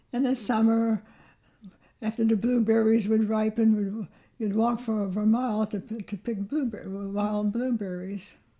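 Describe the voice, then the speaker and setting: A woman talks at a moderate pace and a fairly high pitch, somewhat breathy. Her tone is dark and mellow, her intonation monotone and flat. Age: 80s+. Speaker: retired farm-raised grandmother. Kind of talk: interview answer. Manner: reminiscing, hesitant.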